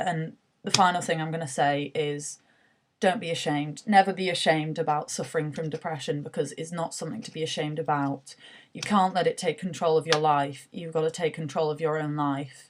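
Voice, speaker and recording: A woman in a British accent speaks at a fairly quick pace with a very deep, low pitch, fairly even intonation and big swings in loudness. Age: 20s. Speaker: university student sharing mental health story. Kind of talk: personal testimony. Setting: self-recorded video selfie. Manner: hesitant, many filler words.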